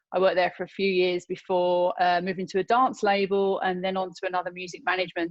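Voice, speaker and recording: A woman with a British accent, medium pitch and a fairly quick pace. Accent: British accent, fully kept. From London, England. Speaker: filmmaker and actor. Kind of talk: interview.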